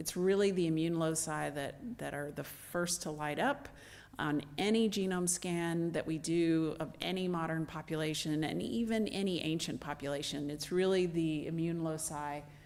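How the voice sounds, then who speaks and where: Soft-spoken and fairly low in pitch, a woman talks with hardly any pauses and ordinary pitch variation. Room echo is audible. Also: moderate pace. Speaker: anthropologist, ancient DNA researcher. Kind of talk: lecture. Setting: stage with audience.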